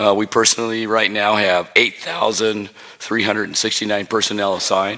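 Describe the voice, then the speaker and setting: Over noticeable background noise, a man with a fairly low pitch speaks at a fairly quick pace in a monotone, flat manner. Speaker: fire incident commander. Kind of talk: public briefing. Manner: halting with fillers.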